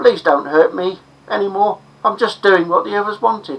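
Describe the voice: In a put-on character voice, a female-sounding speaker talks at a moderate pace with a shaky delivery at a middle pitch.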